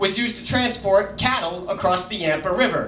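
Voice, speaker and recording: Amid light background noise and audible room echo, a man with an American accent speaks in a high pitch with ordinary pitch variation. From Colorado. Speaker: slam poet. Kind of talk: slam poetry performance. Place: bar. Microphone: camera far.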